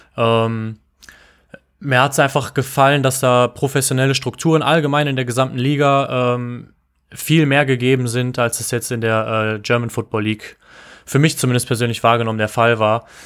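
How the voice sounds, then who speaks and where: This man has an ordinary speaking voice at medium pitch, with fairly even intonation and a moderate pace. The recording is very clean, with a silent background. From Düsseldorf area, western Germany. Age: 20s. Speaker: American football player. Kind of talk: casual interview.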